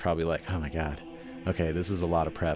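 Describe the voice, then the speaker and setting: There is music in the background. A man talks in a very deep, low pitch. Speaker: book reviewer. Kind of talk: casual book review monologue.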